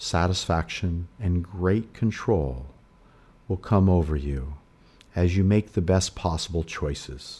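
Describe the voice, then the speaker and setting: Recorded very cleanly against a silent background, a man speaks at a fairly slow pace in a very deep, low pitch, somewhat breathy, with a dark, mellow tone. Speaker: hypnotherapist. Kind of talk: guided meditation. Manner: soothing.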